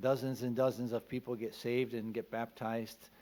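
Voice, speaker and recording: Speaking at a moderate pace, a man has a medium pitch. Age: 60s. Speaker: missionary. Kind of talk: church missionary update. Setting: church. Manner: hesitant, with many fillers.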